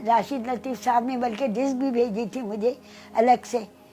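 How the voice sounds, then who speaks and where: With music in the background, a woman speaks at a high pitch with fairly even intonation. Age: 80s+. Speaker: veteran singer. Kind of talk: interview.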